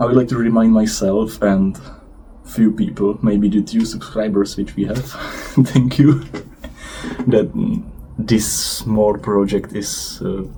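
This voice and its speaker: Against noticeable background noise, a man with a non-native accent and a fairly low pitch speaks at a fairly slow pace, with fairly even intonation and long, frequent pauses. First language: not English. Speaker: vlogger. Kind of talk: casual monologue vlog. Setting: outdoors on a balcony. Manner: hesitant, with fillers.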